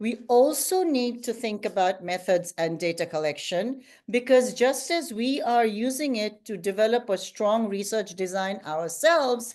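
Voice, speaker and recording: Against a quiet background, a woman with an unremarkable speaking voice talks at a fairly slow pace and fairly high pitch, with lively intonation and hardly any pauses. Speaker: guest lecturer. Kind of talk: lecture.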